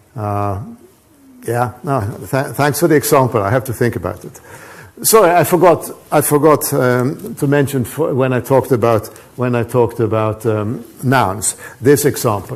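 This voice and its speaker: Over noticeable background noise, a man with a Swedish accent speaks at a moderate pace and medium pitch with ordinary pitch variation. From Sweden. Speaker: professor. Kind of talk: lecture. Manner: halting, many repetitions and false starts.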